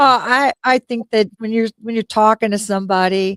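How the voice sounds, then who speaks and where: In a normal speaking voice, a woman talks at a fairly slow pace with ordinary pitch variation, the sound dry and close with no echo. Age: 50s. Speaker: motorcycle club founder. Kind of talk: radio talk show interview. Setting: live internet radio show.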